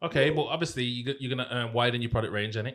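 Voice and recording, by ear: A man speaks at a very fast pace with ordinary pitch variation. His tone is fairly bright. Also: medium pitch for a man.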